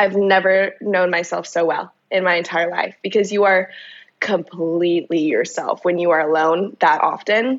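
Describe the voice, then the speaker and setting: A woman's ordinary speaking voice at medium pitch, with fairly even intonation, very even loudness and a moderate pace. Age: 20s. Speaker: personal trainer and fitness entrepreneur. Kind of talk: casual chat.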